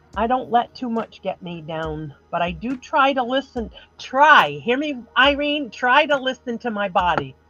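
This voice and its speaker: Over noticeable background noise, a woman with a fairly high pitch speaks at a fairly slow pace with hardly any pauses, her pitch swinging very widely. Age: 60s. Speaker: crafter on live stream panel. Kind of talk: casual chat.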